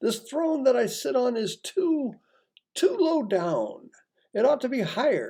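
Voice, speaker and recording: This man uses a put-on character voice pitched extremely high for a man. He talks at a fairly slow pace. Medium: read story. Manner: pompous, boastful.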